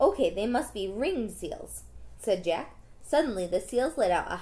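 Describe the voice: Plain reading aloud carries lively intonation.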